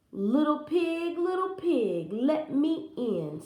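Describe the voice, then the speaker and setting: Using a put-on character voice, a woman speaks very slowly at a high pitch, with a slight echo. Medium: read story. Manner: menacing.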